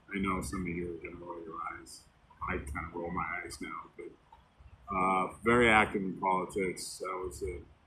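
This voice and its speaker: A man's very deep, low voice with an American accent at a moderate pace, fairly even in intonation, in audible room echo. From US Midwest, northern Illinois. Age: 60s. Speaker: storyteller sharing life story. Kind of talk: personal life story monologue. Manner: casual, hesitant with fillers.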